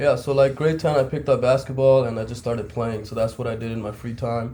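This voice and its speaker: A man talks very fast at medium pitch in a dark, mellow, somewhat breathy voice, with fairly even intonation and big swings in loudness. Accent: slight Pakistani. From Pakistan. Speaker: basketball coach. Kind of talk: casual chat.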